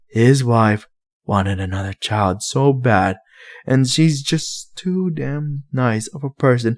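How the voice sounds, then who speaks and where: Growling in a put-on character voice, a man speaks at a fairly slow pace with a medium pitch and ordinary pitch variation, in a very clean recording with a silent background. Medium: read story. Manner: sarcastic, defiant.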